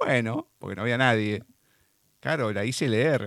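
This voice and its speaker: The speaker has a Rioplatense accent. The pace is moderate. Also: man. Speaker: radio host. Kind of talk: radio interview. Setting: studio.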